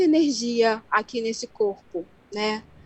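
A woman's fairly high voice shows ordinary variation in pitch as she talks. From Angola, Luanda. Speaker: self-taught researcher of the female body. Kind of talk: radio interview. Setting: remote call from home.

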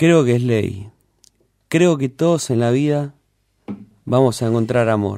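A man with a dark, mellow tone and ordinary pitch variation speaks with long, frequent pauses. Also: medium pitch for a man. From Buenos Aires (Floresta, raised in Lugano). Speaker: radio co-host. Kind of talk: casual chat. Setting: radio studio.

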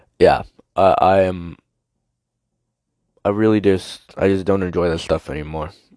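A man speaks at a moderate pace with fairly even intonation and a very deep, low pitch. His speech has long, frequent pauses. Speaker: podcast host. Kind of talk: casual monologue. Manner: halting, many fillers.

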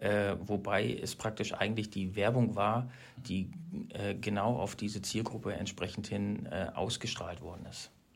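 This man has a normal speaking voice, fairly low in pitch. He talks fairly slowly with fairly even intonation. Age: 40s. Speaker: company manager in wood products e-commerce. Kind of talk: interview conversation. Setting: on-site recording at the company.

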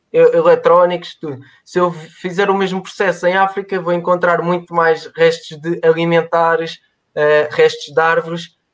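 Moderate pace, monotone and flat intonation, and a European Portuguese accent. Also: man, high pitch for a man. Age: 20s. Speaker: mechanical engineer. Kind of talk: interview on a live stream. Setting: online live stream. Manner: halting, many repetitions.

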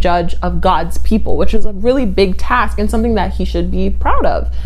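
A woman's animated voice at a moderate pace, amid audible room echo and noticeable background noise. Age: 20s. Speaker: podcast host. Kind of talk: casual solo podcast monologue. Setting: home apartment.

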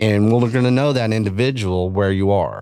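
A West Texas accent at a moderate pace, with ordinary pitch variation and a dry, close sound with no echo. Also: man. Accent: West Texan. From Texas Panhandle. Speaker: beef industry advocate. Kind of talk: casual chat. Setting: studio. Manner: animated.

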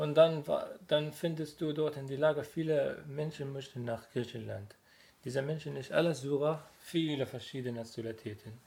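A somewhat breathy man's voice, fairly high in pitch, with fairly even intonation and a moderate pace. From Syria. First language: Arabic (speaking German). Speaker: refugee. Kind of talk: testimony. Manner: halting.

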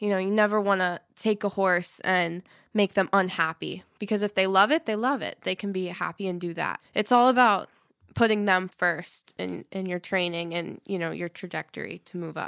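A plain, everyday voice from a woman at medium pitch, moderate pace and fairly even intonation, in a very clean, silent recording with a dry, close sound and no echo. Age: young (18). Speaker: event rider. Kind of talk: casual interview chat.

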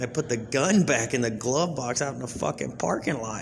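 Over noticeable background noise and audible room echo, a man talks at a fairly quick pace with a medium pitch and ordinary pitch variation. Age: 20s. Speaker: comedian / podcast host. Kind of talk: stand-up style monologue. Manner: casual, profane storytelling.

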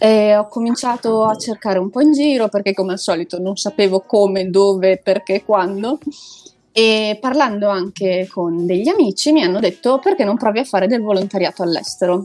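A woman speaks in a normal speaking voice at medium pitch and a moderate pace, with ordinary pitch variation. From Italy. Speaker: expatriate volunteer worker. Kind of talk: casual interview.

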